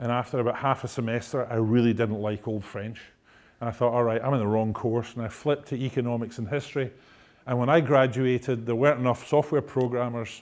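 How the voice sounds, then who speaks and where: A man speaks very fast in a Scottish accent. His intonation stays fairly even. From Scotland. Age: 50s. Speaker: technology executive. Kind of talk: lecture. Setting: stage with audience. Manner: humorous. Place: hall. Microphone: lapel.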